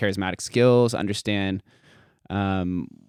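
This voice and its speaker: A man speaks in a General American accent at a fairly low pitch with ordinary pitch variation. The recording is very clean with a silent background and a dry, close sound with no echo. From Las Vegas, Nevada. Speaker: podcaster and crypto educator. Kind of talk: casual interview chat. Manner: fast.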